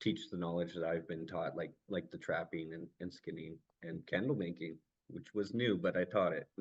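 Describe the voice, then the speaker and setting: With a very deep, low pitch, a man talks at a moderate pace and shows ordinary pitch variation. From Vancouver Island, Canada (First Nations community). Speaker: community coordinator. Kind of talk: conference presentation.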